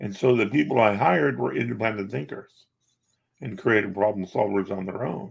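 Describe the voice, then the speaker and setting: A man speaks at a fairly quick pace with lively intonation. His pitch is fairly low, with vocal fry. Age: 60s. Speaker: magician, coach and business owner. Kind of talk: interview. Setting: podcast interview.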